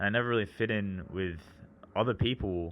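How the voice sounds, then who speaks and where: A man is speaking. He has an Australian accent. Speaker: vlogger. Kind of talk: personal monologue. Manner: casual, hesitant with many fillers.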